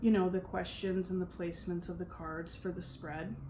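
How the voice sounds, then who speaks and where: The speaker is soft-spoken and somewhat breathy. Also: woman. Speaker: tarot reader. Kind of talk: tarot reading.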